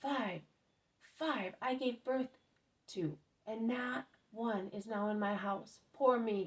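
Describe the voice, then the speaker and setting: In a put-on character voice that sounds female, shrill and fairly high-pitched, the speaker goes at a very slow pace with long, frequent pauses. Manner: hysterical, wailing.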